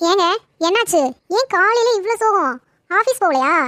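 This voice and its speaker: In a cartoonish character voice, a woman speaks squeaky and at an extremely high pitch, with lively intonation, a fairly slow pace, and a dry, close sound with no echo. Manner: sharp, scolding.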